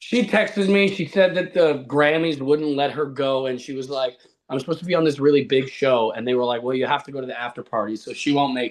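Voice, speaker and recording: With a Canadian accent, a man talks very fast at a fairly high pitch, with ordinary pitch variation and hardly any pauses. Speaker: actor, roast subject. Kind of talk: comedy roast banter.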